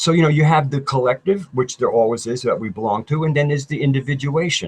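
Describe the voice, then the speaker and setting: This man talks at a fairly quick pace in a fairly high, somewhat breathy voice. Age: 60s. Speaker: YouTube researcher, alternative history. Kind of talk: casual chat interview.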